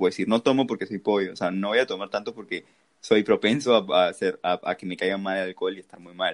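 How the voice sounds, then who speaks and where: In a dry, close sound with no echo, a man talks at a very fast pace. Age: 20s. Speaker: university student, podcast co-host. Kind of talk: casual chat.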